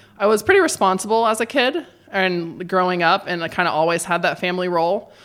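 At a fairly quick pace, a woman talks in a plain, everyday voice. Her pitch variation is ordinary. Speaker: ultra-endurance athlete and running coach. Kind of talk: casual chat.

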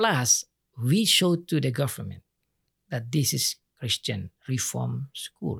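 A very slow delivery in an Indonesian accent, with long, frequent pauses, dry, close sound without echo, and a very clean recording over a silent background. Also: man. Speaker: pastor. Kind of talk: interview. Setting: studio.

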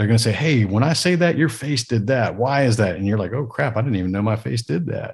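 This man talks at a very fast pace with hardly any pauses and lively intonation. His voice is somewhat breathy, and the background is quiet. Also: medium pitch for a man. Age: 40s. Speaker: entrepreneur and podcaster. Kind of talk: casual interview.

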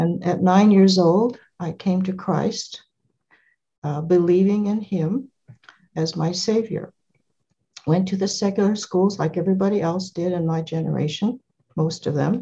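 Speaking with an American accent, a woman at medium pitch talks at a fairly slow pace with a dark, mellow, somewhat breathy tone, fairly even intonation and long, frequent pauses. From California. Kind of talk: interview.

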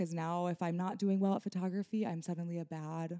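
This woman has a dark, mellow tone and a fairly low pitch, speaking with an American accent at a very fast pace and fairly even intonation. The sound is dry and close, with no echo. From Nebraska. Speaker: wedding photographer. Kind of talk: casual chat. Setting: studio.

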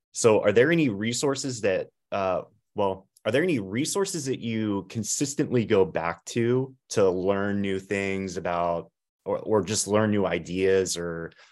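A man talks in a normal speaking voice at a fairly low pitch. His pace is fairly slow, with ordinary pitch variation. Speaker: podcast co-host. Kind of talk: interview.

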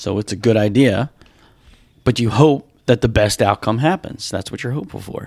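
In a dry, close sound with no echo, a man with an unremarkable speaking voice talks at a moderate pace, his loudness swinging widely while his pitch varies in an ordinary way. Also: medium pitch for a man. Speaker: podcast host. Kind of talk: casual banter podcast.

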